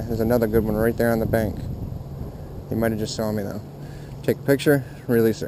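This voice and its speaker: Against noticeable background noise, a man at medium pitch talks at a very fast pace. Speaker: fishing video creator. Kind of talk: outdoor fishing vlog commentary. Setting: outdoors at ponds. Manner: quiet, hushed at times.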